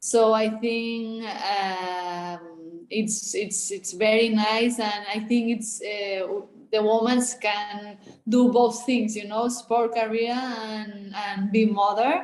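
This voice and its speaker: Speaking very slowly with a Spanish accent, a woman uses a fairly high pitch and fairly even intonation. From Spain. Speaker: athlete. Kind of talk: interview. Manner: halting.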